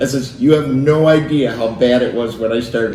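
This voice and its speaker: A man talks at a moderate pace in a medium pitch with lively intonation. Noticeable background noise and audible room echo come through. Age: 60s. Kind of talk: casual interview storytelling.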